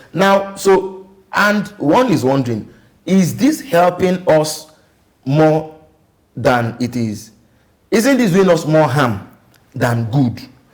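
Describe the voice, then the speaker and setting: Very wide pitch swings mark this very slow delivery, broken by long, frequent pauses. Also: man, fairly high pitch for a man. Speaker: TV talk show host. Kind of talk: political talk show discussion. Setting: TV studio.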